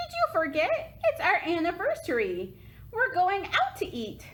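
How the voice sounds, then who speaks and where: In a put-on character voice, a woman speaks squeaky and at an extremely high pitch, with very wide pitch swings, a moderate pace and light background noise. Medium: read story. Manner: gentle, affectionate.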